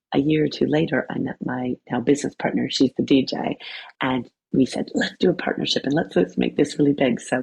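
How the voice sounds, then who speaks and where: A woman's very deep, low voice with vocal fry in a Canadian accent, at a fairly quick pace. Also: ordinary pitch variation. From Canada. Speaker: wellness coach and yoga teacher. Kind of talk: podcast interview. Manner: animated.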